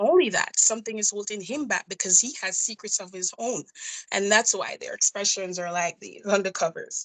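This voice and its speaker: A woman with a Jamaican accent speaks at a moderate pace in a medium pitch, her loudness swinging widely while her pitch varies in an ordinary way. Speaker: nurse and indie author. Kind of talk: interview.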